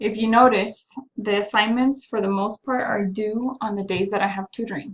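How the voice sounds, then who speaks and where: Intonation holds fairly even. There is a somewhat breathy quality to the voice. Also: woman. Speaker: math teacher. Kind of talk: recorded class announcement. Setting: self-recorded video while away from class.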